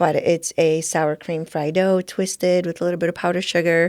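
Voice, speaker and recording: A woman with a Polish accent speaks at a moderate pace in a fairly low pitch, her intonation monotone and flat. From Poland, raised in Buffalo from childhood. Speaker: entrepreneur. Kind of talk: podcast interview.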